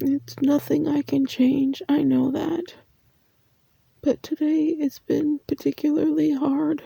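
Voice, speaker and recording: A soft-spoken woman talks at a very slow pace. The sound is dry and close, with no echo. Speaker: ASMR creator. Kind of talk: soft spoken comfort talk.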